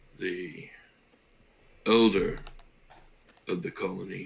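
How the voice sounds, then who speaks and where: Someone puts on a raspy character voice and delivers it at a fairly slow pace. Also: man, very deep, low pitch for a man. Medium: actual play.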